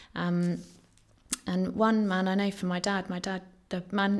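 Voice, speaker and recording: A woman's medium-pitched voice at a fairly slow pace, with monotone, flat intonation on a very clean recording with a silent background. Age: 30s.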